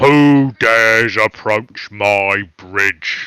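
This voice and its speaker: Booming and put-on, this character voice belongs to a man. His pitch is medium. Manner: challenging.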